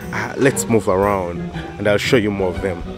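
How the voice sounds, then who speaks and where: Clear music plays behind a man talking at a fairly quick pace. The sound is dry, with no echo. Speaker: farmer vlogger. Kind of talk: casual vlog chat. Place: farm machine. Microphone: phone near.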